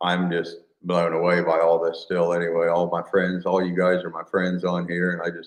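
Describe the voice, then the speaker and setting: In a Midwestern US accent, a man with a very deep, low pitch speaks in a monotone, flat intonation. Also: moderate pace. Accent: US Midwest. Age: 50s. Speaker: farmer and video creator. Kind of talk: casual live stream chat.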